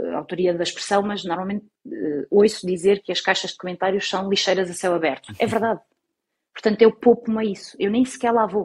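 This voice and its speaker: With a normal speaking voice, a woman talks at a fairly quick pace at a medium pitch, with ordinary pitch variation over a quiet background. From Portugal, Algarve. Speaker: TV journalist. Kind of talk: casual interview.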